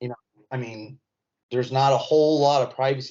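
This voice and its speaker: This man talks at a fairly quick pace with a Southern accent. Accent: Southern-sounding, often taken for Texas. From Indiana. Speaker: comedian. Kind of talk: casual chat.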